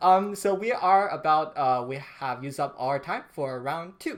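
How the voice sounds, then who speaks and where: A man with lively intonation, recorded very cleanly against a silent background. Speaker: dating show host. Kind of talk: casual chat. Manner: halting.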